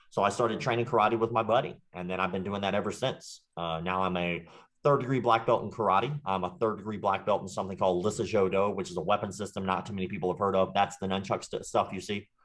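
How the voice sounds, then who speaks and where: A man's fairly low voice with a slight Southern US accent, ordinary pitch variation, a very fast pace and hardly any pauses. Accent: slight Southern country twang. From US South, Jacksonville, Florida. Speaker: martial arts instructor and online creator. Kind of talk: interview, casual chat.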